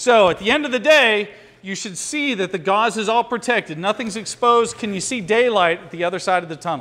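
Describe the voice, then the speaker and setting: A man projects a raised voice at a high pitch. His tone is bright and sharp, and he moves at a fairly quick pace. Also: ordinary pitch variation, big swings in loudness. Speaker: firearms and emergency response instructor. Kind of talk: hands-on training class. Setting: classroom with students. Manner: loud; fast.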